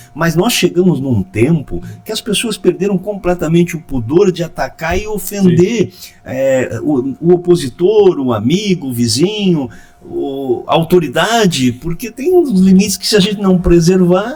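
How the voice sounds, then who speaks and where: A man with a high pitch and lively intonation talks at a fairly slow pace amid noticeable background noise. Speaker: podcast host. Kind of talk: casual talk.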